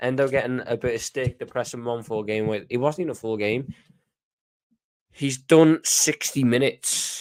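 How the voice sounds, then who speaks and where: A man in a Scouse accent speaks at medium pitch and a moderate pace, with ordinary pitch variation. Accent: Scouse (Liverpool English). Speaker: football fan commentator. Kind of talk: casual livestream chat reading comments. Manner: animated.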